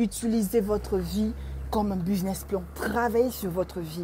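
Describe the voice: Her tone is dark and mellow, at a medium pitch with ordinary pitch variation. The woman keeps a moderate pace.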